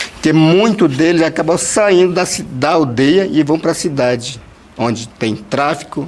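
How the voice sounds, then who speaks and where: Over noticeable background noise, a man speaks at a fairly slow pace in a fairly high pitch with ordinary pitch variation. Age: 30s. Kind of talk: personal testimony in group meeting. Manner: halting, many fillers.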